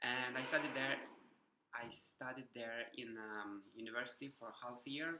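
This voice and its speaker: Bright, sharp tone with a Ukrainian accent and fairly even intonation. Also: man, medium pitch for a man, moderate pace. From Ukraine. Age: 20s. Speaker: vlogger. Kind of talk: personal vlog testimony. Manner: halting, many fillers.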